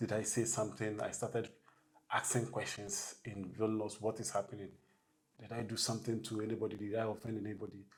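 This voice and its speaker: A man's fairly low, somewhat breathy voice at a fairly quick pace, monotone with flat intonation. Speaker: bus driver. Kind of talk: interview.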